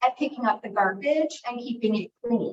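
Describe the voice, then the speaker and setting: With normal rises and falls in pitch, a woman talks at an unhurried, middling speed. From Montgomery County, Maryland (US Mid-Atlantic). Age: 50s. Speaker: local resident at community meeting. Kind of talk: public comment at community meeting. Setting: hybrid community meeting.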